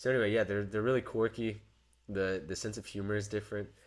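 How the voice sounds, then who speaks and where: This man's pitch is fairly low. He has an American accent. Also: very clean recording, silent background. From United States. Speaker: podcast co-host. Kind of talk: casual chat. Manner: halting, many restarts.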